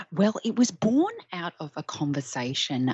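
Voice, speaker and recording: The speech moves at a fairly slow pace with ordinary pitch variation, and noticeable background noise runs underneath. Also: woman. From Australia. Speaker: Etsy shop owner. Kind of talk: interview.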